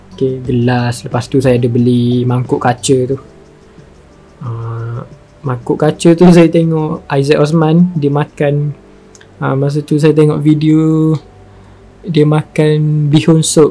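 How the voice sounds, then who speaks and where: Music plays in the background. The speech is very slow, with fairly even intonation. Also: man, fairly high pitch for a man. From Malaysia, Kelantan. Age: 20s. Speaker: youtuber. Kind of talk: casual Q&A.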